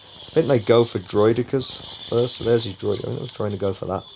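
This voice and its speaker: Noticeable background noise around a man speaking at a fairly quick pace. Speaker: gaming youtuber. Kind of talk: gameplay commentary. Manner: casual, animated.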